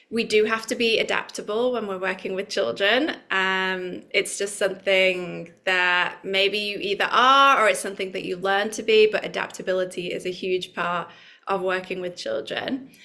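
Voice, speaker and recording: A woman with a British accent, medium in pitch and bright, sharp in tone, at a moderate pace with ordinary pitch variation and hardly any pauses. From UK. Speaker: yoga teacher trainer. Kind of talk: online workshop presentation. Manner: conversational, with fillers.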